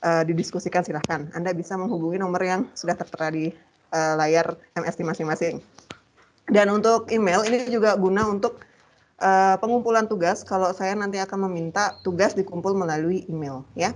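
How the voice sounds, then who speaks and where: A normal speaking voice from a woman, medium in pitch, fairly quick, with ordinary pitch variation. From Bali, Gianyar. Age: 30s. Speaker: university lecturer. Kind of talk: lecture.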